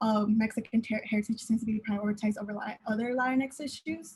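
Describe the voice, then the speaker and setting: A woman speaks at a moderate pace in a fairly high, somewhat breathy voice with monotone, flat intonation. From Southern California (Pomona). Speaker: university student panelist. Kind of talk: panel discussion. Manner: halting, many fillers.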